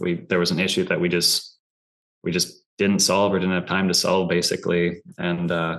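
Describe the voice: The tone is fairly bright. Intonation stays monotone and flat. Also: man, low pitch for a man, moderate pace.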